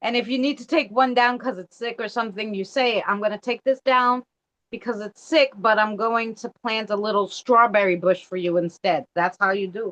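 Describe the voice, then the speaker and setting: A woman with an American accent has a plain, everyday voice, fairly high in pitch with ordinary pitch variation and big swings in loudness. She talks at a moderate pace, and the sound is dry and close with no echo. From Astoria, Queens, New York City. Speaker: live stream co-guest. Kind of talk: casual chat. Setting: shared live stream.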